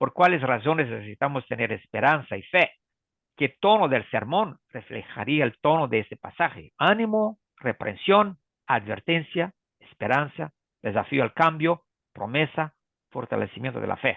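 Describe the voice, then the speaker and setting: Swinging very widely in pitch, a man speaks in a fairly high register. His pace is moderate. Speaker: preaching instructor. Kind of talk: online workshop presentation. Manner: halting.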